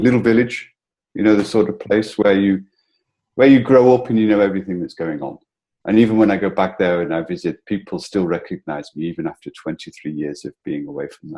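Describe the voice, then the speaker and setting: Fairly quick and lively in intonation, a man speaks in a dark, mellow tone at a fairly low pitch. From northern England, between Liverpool and Manchester. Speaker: entrepreneur, founder of a coworking community. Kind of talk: interview.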